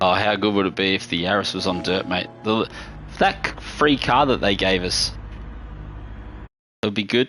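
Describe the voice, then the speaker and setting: A man's fairly low voice with an Australian accent, ordinary pitch variation, a moderate pace and long, frequent pauses. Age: 40s. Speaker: gaming streamer. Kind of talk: live gameplay stream chat. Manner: casual, rambling with false starts.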